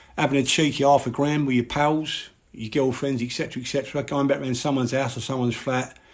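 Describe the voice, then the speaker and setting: With a Cockney accent, a man talks at a fairly quick pace and a medium pitch. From London, East End (Mile End). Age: 50s. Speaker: live streamer on addiction. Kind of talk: live stream monologue. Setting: live social media stream. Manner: animated.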